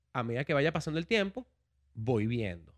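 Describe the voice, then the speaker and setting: On a very clean recording with a silent background and a dry, close sound free of echo, a man talks at a moderate pace. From Venezuela, Caracas. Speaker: education entrepreneur. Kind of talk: casual interview.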